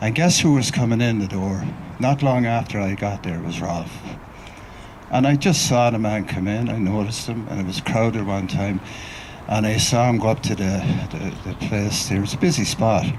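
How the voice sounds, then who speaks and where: Spoken with an Irish accent at a moderate pace, the voice has ordinary pitch variation. Room echo is audible, and background noise is noticeable. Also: man, fairly low pitch for a man. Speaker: writer and researcher, mourner speaking at a memorial. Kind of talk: memorial tribute speech.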